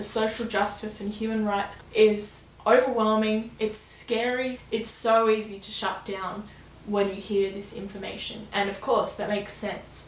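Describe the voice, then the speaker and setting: A woman's fairly high, monotone, flat voice amid audible room echo and noticeable background noise. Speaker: new YouTuber, sustainability channel. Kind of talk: vlog monologue. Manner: calm, understated delivery.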